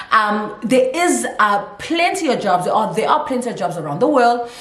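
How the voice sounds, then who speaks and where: A woman's animated, fairly high voice at a moderate pace, with very wide pitch swings, audible room echo and noticeable background noise. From South Africa. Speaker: YouTuber, teacher abroad. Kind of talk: casual vlog.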